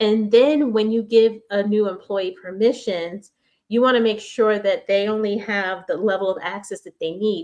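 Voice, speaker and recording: A woman with an American accent uses an ordinary speaking voice, fairly high in pitch with ordinary variation, at a moderate pace. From New York. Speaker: business speaker. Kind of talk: presentation.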